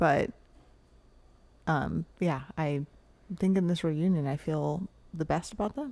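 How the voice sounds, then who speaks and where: Speaking very slowly in a Californian accent, a woman with a very deep, low pitch and a dark, mellow tone uses ordinary pitch variation and takes long, frequent pauses. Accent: Californian American English. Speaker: podcast host. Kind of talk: casual chat.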